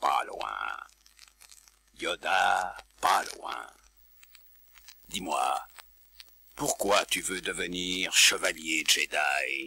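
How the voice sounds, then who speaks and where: Using a put-on character voice, a man speaks very slowly with long, frequent pauses. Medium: read story. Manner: inverted word order, cryptic.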